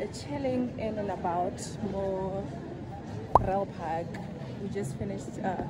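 Loud background noise behind a woman's fairly slow speech. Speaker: vlogger. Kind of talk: casual vlog chat.

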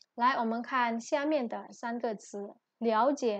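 In an Indonesian accent, a woman with a high-pitched voice speaks at a very slow pace with fairly even intonation. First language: Indonesian (speaking Chinese). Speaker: Chinese language lecturer. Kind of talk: lecture.

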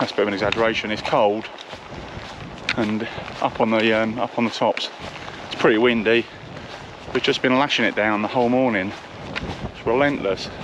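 Over noticeable background noise, a man speaks at a fairly quick pace in a monotone, flat intonation, the sound dry with no echo. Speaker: solo hiker vlogger. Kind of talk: casual vlog chat. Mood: wry, weather-weary. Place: open country. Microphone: phone near.

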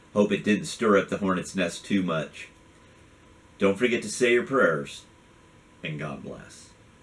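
Speaking fairly slowly with long, frequent pauses, a man uses lively intonation at a fairly low pitch. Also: big swings in loudness. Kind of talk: video rant. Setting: video. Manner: earnest, impassioned; conversational. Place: home room.

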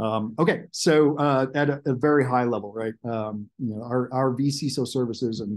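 A man with fairly even intonation. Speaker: presenter. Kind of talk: webinar presentation. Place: home room. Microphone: webcam.

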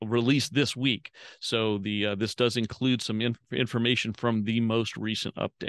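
A man at a moderate pace, fairly even intonation, dry sound with no echo and a quiet background. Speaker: host, facilitator. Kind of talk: meeting introduction. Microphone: video call.

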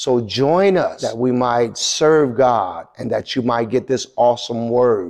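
Over a quiet background, a man talks at a fairly slow pace. His tone is dark and mellow, with ordinary pitch variation. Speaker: senior pastor. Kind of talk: welcome announcement. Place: church. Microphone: lapel.

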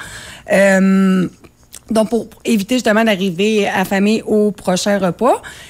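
A woman speaks in a normal speaking voice at a medium pitch. Her intonation stays fairly even. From Quebec. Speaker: cookbook author and nutrition coach; nutrition coach. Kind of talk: interview. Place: studio.

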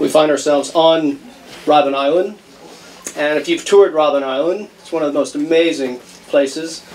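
A plain, everyday voice moves at a moderate pace with fairly even intonation. Light background noise can be heard. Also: man. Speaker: criminal justice professor. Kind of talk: slide presentation. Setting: event hall with audience, microphone. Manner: casual, joking. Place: hall.

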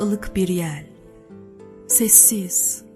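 Music plays in the background. A woman talks at a very slow pace. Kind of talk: poetry reading.

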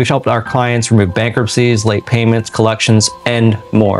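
Music sounds faintly in the background. A man talks at a moderate speed. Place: home room.

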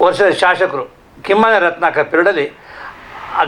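Background noise is clearly audible here. The man's pitch varies in an ordinary way. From Karnataka, Shivamogga district (Malnad). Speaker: village council vice-president. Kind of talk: interview.

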